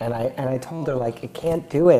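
Noticeable background noise sits behind a man with an American accent and a medium-pitched voice. His intonation is lively and his pace fairly quick. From California, Silicon Valley. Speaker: tech entrepreneur. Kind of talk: interview.

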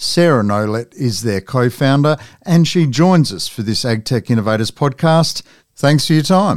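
A man in a normal speaking voice talks at a moderate pace and medium pitch with lively intonation. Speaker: podcast interviewer. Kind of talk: interview.

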